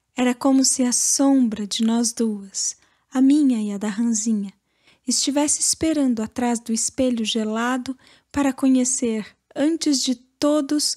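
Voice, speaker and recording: A woman with a high pitch and a dark, mellow tone talks fairly slowly with fairly even intonation. The sound is dry and close with no echo, on a very clean recording with a silent background. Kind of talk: audiobook literary reading.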